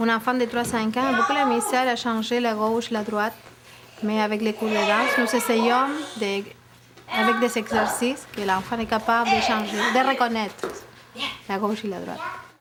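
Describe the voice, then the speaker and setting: Long, frequent pauses break up this speech in an Argentine accent, delivered with fairly even intonation over noticeable background noise. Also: woman, fairly high pitch for a woman, moderate pace. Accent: Argentine Spanish accent in Quebec French. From Argentina. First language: Spanish (speaking French). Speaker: dance teacher and school owner. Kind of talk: interview.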